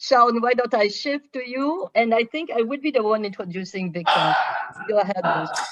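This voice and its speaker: A woman with a French accent speaks at a fairly high pitch and moderate pace, her intonation lively over noticeable background noise. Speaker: professor, webinar co-chair. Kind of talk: panel discussion moderation.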